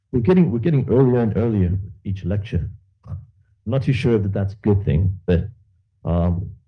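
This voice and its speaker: A man's fairly low, somewhat breathy voice with ordinary pitch variation, long and frequent pauses, and audible room echo. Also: moderate pace. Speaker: law lecturer. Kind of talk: lecture.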